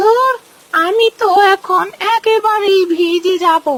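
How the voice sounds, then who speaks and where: A woman performs a cartoonish character voice, squeaky and extremely high-pitched. She speaks at a fairly slow pace with ordinary pitch variation. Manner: muttering to herself.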